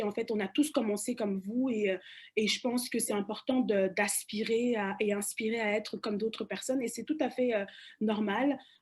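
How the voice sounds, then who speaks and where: At a moderate pace, a woman with a fairly high pitch and ordinary pitch variation sounds somewhat breathy. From Cameroon, Douala. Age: young. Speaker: panelist. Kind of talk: panel discussion. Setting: webinar. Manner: halting, many repetitions and fillers.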